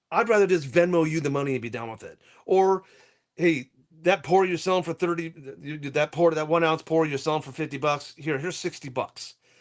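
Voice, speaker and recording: In a plain, everyday voice, a man of fairly high pitch speaks at a fairly quick pace with ordinary pitch variation. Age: 60s. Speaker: precious metals dealer. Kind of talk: casual chat.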